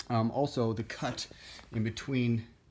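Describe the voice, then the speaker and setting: The speaker is a man with a medium pitch. Some breathiness runs through his voice. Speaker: wrestling belt collector and reviewer. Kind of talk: casual product review to camera. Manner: hesitant, many filler words.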